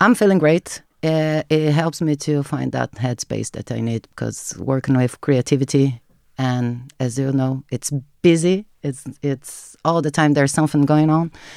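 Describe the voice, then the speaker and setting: On a very clean recording with a silent background, a woman with a Portuguese accent speaks at a fairly slow pace, her very deep, low pitch showing ordinary variation. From Brazil. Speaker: marketing content creator. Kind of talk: casual interview chat.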